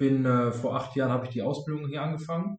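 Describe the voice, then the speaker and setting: A plain, everyday voice, a man's at a fairly high pitch, with a fairly quick pace and ordinary pitch variation. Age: 20s. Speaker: insurance and finance advisor. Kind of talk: interview.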